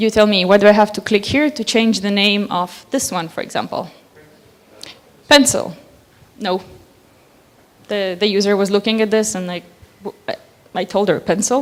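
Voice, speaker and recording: A woman with a non-native accent at a moderate pace, ordinary pitch variation and long, frequent pauses. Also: medium pitch for a woman. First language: not English. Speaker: conference speaker. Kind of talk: conference talk.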